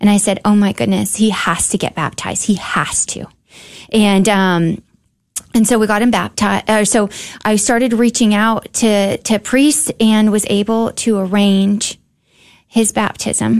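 A woman with an American accent uses a normal speaking voice at medium pitch, speaking at a fairly slow pace with fairly even intonation. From Houston, Texas. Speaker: guest sharing faith story, volunteer barber. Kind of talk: testimony. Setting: studio.

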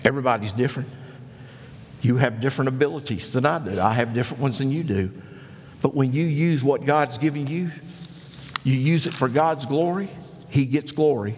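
Amid noticeable background noise, a man with a fairly high pitch speaks fairly quickly, leaving long, frequent pauses. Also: ordinary pitch variation. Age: 60s. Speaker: pastor. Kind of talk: sermon. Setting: church.

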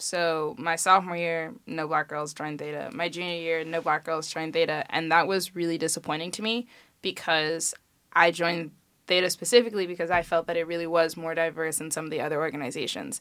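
A woman with an American accent, fairly low pitch and a fairly quick pace, in a plain, everyday voice. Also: fairly even intonation. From Chicago. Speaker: college student, sorority member. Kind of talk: casual interview chat.

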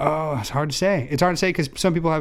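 Here a man talks with an American accent. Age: 20s. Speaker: podcast co-host. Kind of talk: casual chat.

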